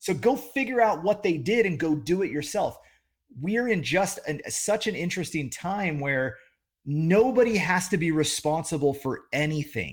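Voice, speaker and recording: Lively intonation marks this man's high-pitched voice. He talks at a moderate pace. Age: 40s. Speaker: entrepreneur. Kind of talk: casual interview chat. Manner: halting, many repetitions.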